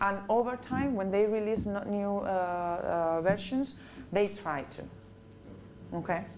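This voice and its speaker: A woman speaks at a fairly slow pace, with a medium pitch and ordinary pitch variation. Her long, frequent pauses carry audible room echo. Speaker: corporate trainer. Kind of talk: training presentation. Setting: business meeting with audience.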